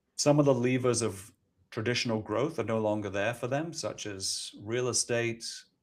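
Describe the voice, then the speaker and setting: A man with a London accent, medium pitch, ordinary pitch variation and a moderate pace. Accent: British, sounds London and well educated. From Scotland. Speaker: ETF company executive. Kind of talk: podcast interview.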